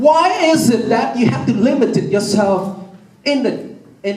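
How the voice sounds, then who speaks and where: Man's high, lively voice at a moderate pace, with audible room echo and noticeable background noise. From Vietnam. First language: Vietnamese. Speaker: city councilman. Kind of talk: public speech. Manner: halting, repeats words.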